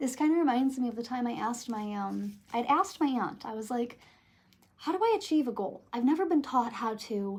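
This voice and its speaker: This is an unremarkable speaking voice with an American accent. The pace is fairly quick. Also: woman. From Michigan, USA. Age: 20s. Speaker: tarot reader. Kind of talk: casual talk to camera.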